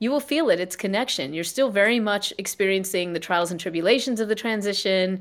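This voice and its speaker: A woman with an American accent speaks at a fairly quick pace in a normal speaking voice, medium in pitch with ordinary pitch variation. The recording is very clean, with a silent background. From US South, South Carolina. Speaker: scientist and psychologist. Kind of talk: interview conversation; guided reflection.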